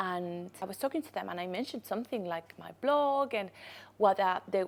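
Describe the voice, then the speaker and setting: A woman speaks with a Spanish accent at a medium pitch. Her intonation is lively. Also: very clean recording, silent background. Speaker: podcast host, content creator. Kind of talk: casual monologue, storytelling.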